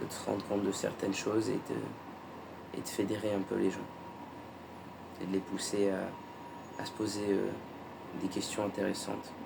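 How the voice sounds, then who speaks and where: In a calm tone with audible room echo, a man speaks at a fairly slow pace in a fairly low, monotone, flat voice, leaving long, frequent pauses. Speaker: YouTuber sharing personal spiritual experience. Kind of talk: personal vlog monologue. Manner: calm, measured; hesitant, with fillers.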